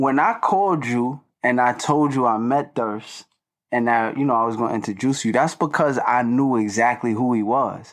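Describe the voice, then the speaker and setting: This man talks at a moderate pace in a medium-pitched voice, with ordinary pitch variation, very even loudness and a quiet background. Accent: New York. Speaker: rapper. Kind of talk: casual chat.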